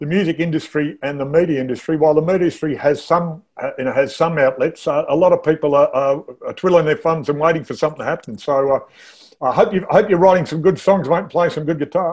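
In an Australian accent, a man speaks at a very fast pace with a fairly high pitch and fairly even intonation. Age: 60s. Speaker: interviewer host. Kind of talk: casual interview.

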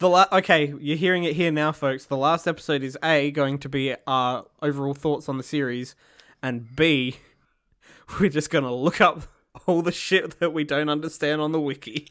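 With an Australian accent, a man talks at a moderate pace and a fairly high pitch on a very clean recording with a silent background. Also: fairly even intonation. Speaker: podcast co-host. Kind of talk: casual chat.

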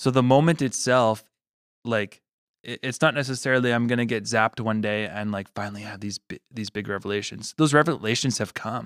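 Talking at a fairly quick pace, a man with a Canadian accent uses an ordinary speaking voice at medium pitch, with ordinary pitch variation and big swings in loudness. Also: dry, close sound with no echo, very clean recording, silent background. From Manitoba, Canada. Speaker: podcast co-host. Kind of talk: casual chat.

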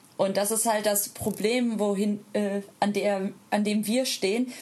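Against noticeable background noise, a woman speaks at a fairly slow pace in a medium pitch. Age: 30s. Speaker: polyamorous parent and social media creator. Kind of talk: casual interview.

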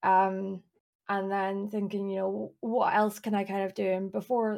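In a Scottish accent, a woman speaks at a moderate pace with a medium pitch. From east Scotland, near Edinburgh. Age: 20s. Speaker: streamer and illustrator, PhD student. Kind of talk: casual interview chat.

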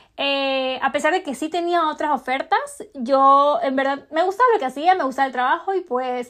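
A woman speaks at a fairly quick pace. Her voice sits high. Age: 20s. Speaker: podcast host. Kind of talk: casual personal vlog-style monologue.

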